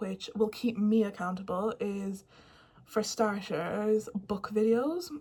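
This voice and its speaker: A woman speaks at a fairly high pitch in a somewhat breathy voice, keeping her intonation fairly even. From Ireland. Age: 20s. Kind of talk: casual talk to camera.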